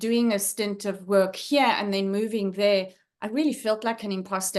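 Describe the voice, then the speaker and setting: A woman with a South African accent speaks at a medium pitch and a moderate pace. Her intonation is fairly even, and the background is quiet. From South Africa, Johannesburg. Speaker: leadership trainer and former academic. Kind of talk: guest talk on video call. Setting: video call. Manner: hesitant, many fillers.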